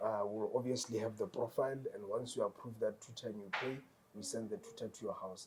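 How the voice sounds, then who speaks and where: A man with a Botswana accent talks at a fairly quick pace. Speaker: tutoring company founder. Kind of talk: interview. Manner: repetitive stammering fillers.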